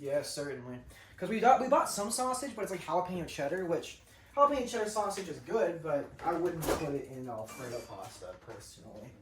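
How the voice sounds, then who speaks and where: Fairly quick speech in an American accent, with music in the background. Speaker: vlogger cooking at home. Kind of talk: casual chat.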